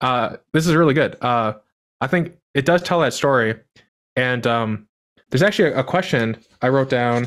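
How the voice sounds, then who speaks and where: Against a quiet background, a man speaks at a moderate pace with very even loudness and ordinary pitch variation. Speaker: podcast host. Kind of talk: casual interview. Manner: halting, many fillers. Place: home room.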